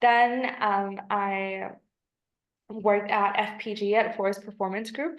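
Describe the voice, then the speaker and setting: A woman's fairly high voice with an American accent, fairly even intonation and a fairly slow pace. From US, Washington D.C. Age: 20s. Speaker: virtual assistant job candidate. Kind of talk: job interview. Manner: hesitant, many fillers.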